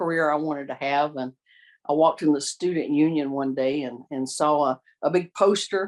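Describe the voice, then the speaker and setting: A woman talks at a moderate pace with a slight Southern US accent. Her pitch is very deep and low. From US South, Columbia, South Carolina. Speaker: victim advocate. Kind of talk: oral history interview. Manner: halting, many fillers and repeats.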